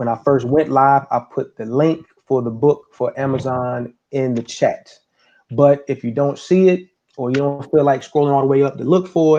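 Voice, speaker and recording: With a dark, mellow tone and fairly even intonation, a man speaks at a moderate pace and a fairly high pitch. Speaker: talk show host. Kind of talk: casual chat. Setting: live stream.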